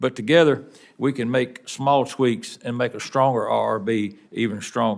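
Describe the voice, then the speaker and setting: Someone with a Tennessee accent talks at a moderate pace with fairly even intonation. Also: man, medium pitch for a man. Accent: Southern US (Tennessee), noticeable. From Tennessee, Wilson County. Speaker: union legislative director, railroad worker. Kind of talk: congressional testimony. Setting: Senate committee hearing. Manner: formal.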